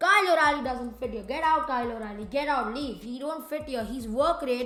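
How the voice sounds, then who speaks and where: The delivery is animated and fairly quick, with ordinary pitch variation. Noticeable background noise and audible room echo fill the recording. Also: woman. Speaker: wrestling commentator YouTuber. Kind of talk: casual opinion monologue. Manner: loud, yelling at times.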